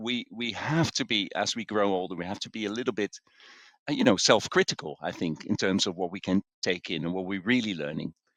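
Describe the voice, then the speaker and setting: A man with a Dutch accent speaks in a dry, close sound with no echo. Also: fairly low pitch for a man, ordinary pitch variation, fairly quick pace. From Netherlands. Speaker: executive coach and author. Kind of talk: interview. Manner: hesitant, many fillers.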